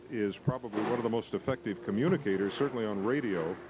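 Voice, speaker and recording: A man with an American accent at a very fast pace, against noticeable background noise. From southern Illinois. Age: 60s. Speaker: TV news anchor. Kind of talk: interview.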